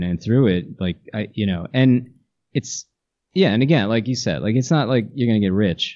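In an ordinary speaking voice, a man with a fairly low pitch talks with lively intonation. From New Jersey. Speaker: musician. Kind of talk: casual interview.

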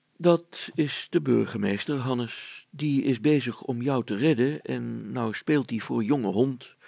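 Plain reading aloud moves through an ordinary range of pitch.

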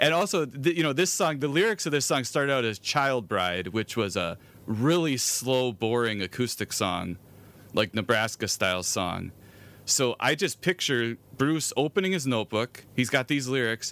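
A man speaks at a medium pitch, his voice swinging very widely up and down. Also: moderate pace. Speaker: podcast host. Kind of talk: casual chat.

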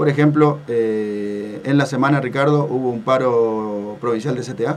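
With audible room echo, a man speaks at a moderate pace and medium pitch with ordinary pitch variation.

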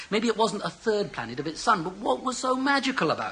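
A man projects a raised voice with very wide swings in pitch while noticeable background noise carries on behind him. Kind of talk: sci-fi audio drama, earnest dialogue. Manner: animated, emotionally urgent, arguing.

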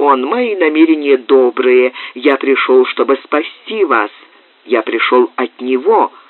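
The clip consists of plain reading aloud.

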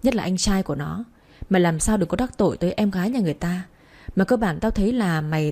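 The clip is plain reading aloud.

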